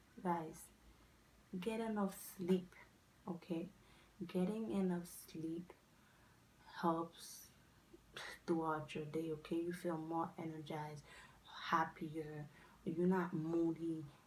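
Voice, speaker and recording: In a Haitian accent, a woman speaks at a very slow pace with long, frequent pauses, a fairly low pitch, fairly even intonation and a somewhat breathy voice. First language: not English; English her fourth language. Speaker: lifestyle vlogger. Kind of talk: casual advice vlog.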